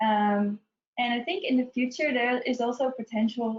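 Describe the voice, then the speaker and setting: Somewhat breathy, a woman talks with a strong Dutch accent. She keeps a moderate pace and fairly even intonation. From Netherlands. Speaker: UX researcher presenting a webinar. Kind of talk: webinar presentation. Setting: online webinar.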